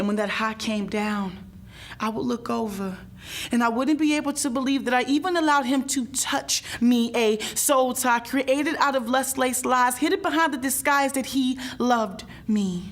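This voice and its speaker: Speaking at a moderate pace, a woman has a high-pitched voice with ordinary pitch variation. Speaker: spoken word poet. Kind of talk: spoken word poetry performance.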